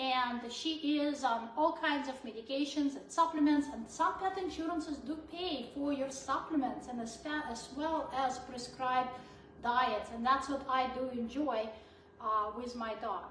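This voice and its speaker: A fairly slow pace with ordinary pitch variation, amid audible room echo and noticeable background noise. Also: woman, high pitch for a woman. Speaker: veterinarian. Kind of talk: live Q&A chat. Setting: live video stream.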